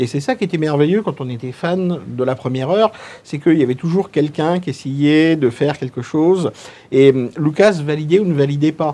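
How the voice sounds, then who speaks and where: This man's voice is fairly high-pitched with a dark, mellow tone. He talks at a moderate pace with ordinary pitch variation. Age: 40s. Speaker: film fan guest. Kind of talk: casual panel discussion. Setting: filmed panel in a cinema.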